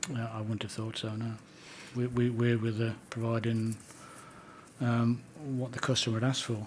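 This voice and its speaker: A soft-spoken man talks at a moderate pace and medium pitch with monotone, flat intonation. He takes long, frequent pauses. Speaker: witness at a public inquiry. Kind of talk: inquiry testimony. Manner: halting.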